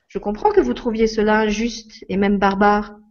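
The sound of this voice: This is an unforced reading voice. Its intonation is fairly even.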